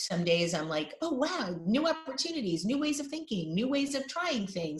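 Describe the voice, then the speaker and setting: The voice has a New York accent and very wide pitch swings. Noticeable background noise runs underneath. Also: woman. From New York (Brooklyn, Queens). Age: 50s. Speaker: designer and podcast host. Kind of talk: interview.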